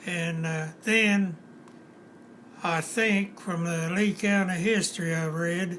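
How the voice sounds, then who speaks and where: A man speaks with an Appalachian accent at a very slow pace. His pitch is high and his intonation fairly even. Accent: Appalachian Kentucky. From eastern Kentucky, USA. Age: 90s. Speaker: retired auto factory worker. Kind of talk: interview answer.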